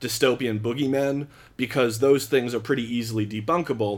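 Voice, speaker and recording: On a very clean recording with a silent background, a man with an American accent and a plain, everyday voice speaks at a moderate pace, medium pitch and fairly even intonation. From Philadelphia area, US. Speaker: podcast guest explaining net neutrality. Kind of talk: casual chat.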